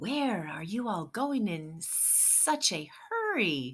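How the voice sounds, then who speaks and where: A put-on character voice, female-sounding and hissing, at medium pitch, very slow, with very wide pitch swings. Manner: hissing, sly.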